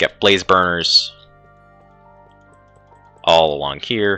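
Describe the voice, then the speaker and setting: Over music in the background, a man speaks at a very slow pace with ordinary pitch variation. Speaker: Minecraft tutorial maker. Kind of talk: gameplay tutorial narration. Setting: poor microphone. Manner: casual, hesitant.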